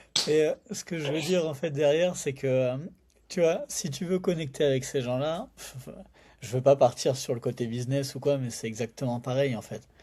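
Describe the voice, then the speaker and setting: A man's fairly high-pitched voice, dark and mellow in tone, with ordinary pitch variation at a moderate pace. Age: 30s. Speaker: entrepreneur and sales expert. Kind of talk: casual podcast conversation. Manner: casual, many fillers.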